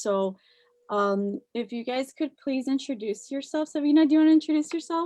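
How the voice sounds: Her high pitch, dark, mellow tone and ordinary pitch variation come through as this woman speaks at a moderate pace.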